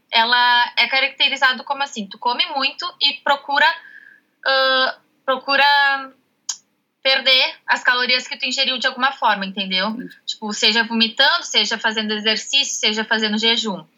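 A woman high in pitch at a moderate pace, with ordinary pitch variation. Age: 20s. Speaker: nutrition student. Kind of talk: interview.

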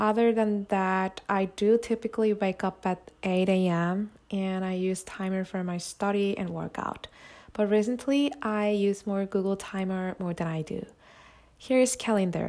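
A woman with a Korean accent reads at a fairly slow pace and medium pitch with fairly even intonation, in a very clean recording with a silent background. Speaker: solo podcaster, student. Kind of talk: scripted solo monologue.

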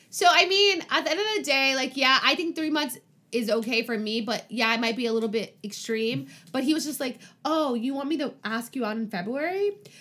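A woman's raised, projected voice, high-pitched and bright, sharp in tone, fairly quick with lively intonation, in a very clean recording with a silent background. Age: 20s. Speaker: podcast host. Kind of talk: casual chat.

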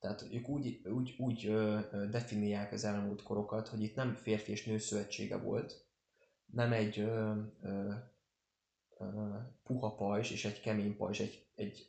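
A man's fairly low voice, monotone and flat, at a fairly slow pace with long, frequent pauses. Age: 20s. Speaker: podcast host. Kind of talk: casual chat. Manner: hesitant with many fillers.

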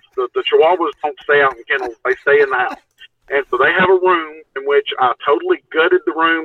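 Speaking at a fairly quick pace, a man talks with a Texan accent. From Texas. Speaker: Bigfoot researcher and TV show participant. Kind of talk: casual chat.

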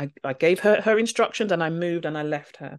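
In a London accent, a woman with a fairly low pitch talks at a moderate pace against a quiet background. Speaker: teacher. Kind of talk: interview conversation.

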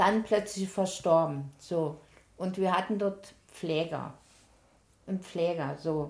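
A woman with a fairly low pitch speaks at a very slow pace. Her intonation is fairly even, with long, frequent pauses. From eastern Germany, Halle an der Saale. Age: 70s. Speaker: retired nurse. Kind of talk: casual chat, life story.

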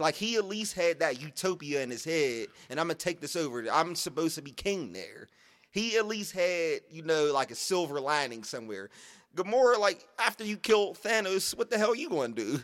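A man with a high pitch, very wide pitch swings, big swings in loudness and a fairly quick pace. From Pittsburgh, Pennsylvania. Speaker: podcast co-host. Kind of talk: casual chat.

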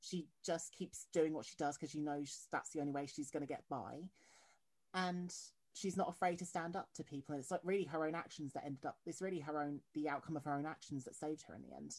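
At a very fast pace, a woman talks in a very deep, low pitch. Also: fairly even intonation. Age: 20s. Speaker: podcast host. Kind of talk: interview.

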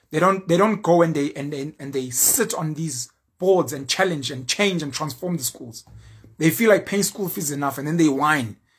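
A man's fairly high, somewhat breathy voice, animated in tone with lively intonation at a moderate pace, in a very clean recording with a silent background. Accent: South African. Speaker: YouTuber and social commentator. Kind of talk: opinion monologue.

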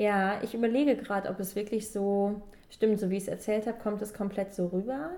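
The voice has a dark, mellow tone and moves at a fairly quick pace. Its intonation stays fairly even. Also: woman, medium pitch for a woman. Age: 20s. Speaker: podcast host, book enthusiast. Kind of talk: casual chat.

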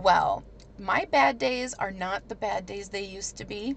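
A woman with an American accent talks at a very slow pace in a medium pitch for a woman, her intonation lively and her voice showing vocal fry. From US Midwest. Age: 30s. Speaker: chronic illness patient and former DJ. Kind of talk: casual interview.

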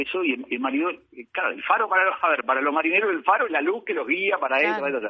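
A man with a Uruguayan accent speaks in very wide pitch swings while music plays in the background. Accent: Rioplatense Spanish (Uruguayan). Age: 50s. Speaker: painter. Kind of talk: interview. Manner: halting, many repetitions and fillers.

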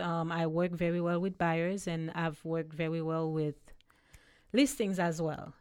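On a very clean recording with a silent background, a woman with a Haitian accent speaks fairly slowly at a fairly low pitch. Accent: Haitian Caribbean-accented English. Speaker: realtor. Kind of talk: interview.

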